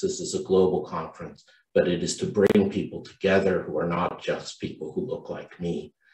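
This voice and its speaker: A man speaks at a moderate pace with hardly any pauses, with audible room echo and a quiet background. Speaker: conference host. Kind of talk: welcome speech. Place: home room. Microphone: video call.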